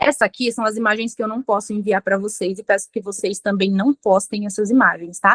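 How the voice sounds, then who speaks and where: The woman heard here has an unremarkable speaking voice. Her intonation stays fairly even at a medium pitch. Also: dry, close sound with no echo. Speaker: forensic expert lecturer. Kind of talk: lecture.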